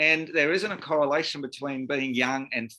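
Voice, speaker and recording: A man speaks with an Australian accent. His voice is fairly high, with a bright, sharp tone. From Australia, Sydney. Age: 40s. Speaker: cleaning business owner. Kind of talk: panel discussion.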